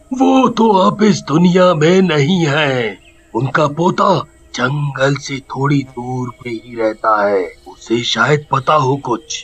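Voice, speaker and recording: A man puts on a cartoonish character voice, fairly high-pitched, speaking at a very slow pace with lively intonation. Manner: slow, ominous, repeats himself.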